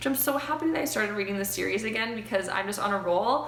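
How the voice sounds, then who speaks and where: A woman at medium pitch swings very widely in pitch, amid noticeable background noise and audible room echo. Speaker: book vlogger. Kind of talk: casual vlog review. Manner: fast.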